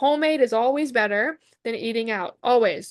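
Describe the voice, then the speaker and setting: A woman speaks at a moderate pace with a fairly high pitch, ordinary pitch variation and an animated tone. The background is quiet and the sound is dry and close, with no echo. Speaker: wellness coach and product seller. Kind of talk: sales pitch.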